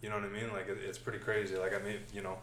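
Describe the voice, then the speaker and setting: A man rushes along at a very fast pace while noticeable background noise plays underneath. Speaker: podcast host. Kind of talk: casual interview chat. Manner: relaxed, many fillers.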